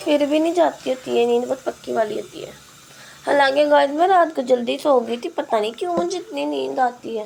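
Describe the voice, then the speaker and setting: With noticeable background noise behind her, a woman speaks at a high pitch and a moderate pace, her intonation lively. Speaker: vlogger. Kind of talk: casual vlog chat.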